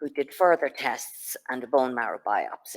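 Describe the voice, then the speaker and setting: With a Dublin accent, a woman speaks in a very deep, low pitch with ordinary pitch variation, recorded with a dry, close sound and no echo. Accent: Irish, Dublin. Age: 60s. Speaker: patient speaker. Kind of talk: personal testimony talk. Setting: conference venue with audience, streamed online.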